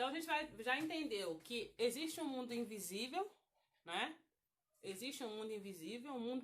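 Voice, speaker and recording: A high-pitched woman with very wide pitch swings. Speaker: women's Bible study teacher. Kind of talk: Bible study lesson. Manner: halting.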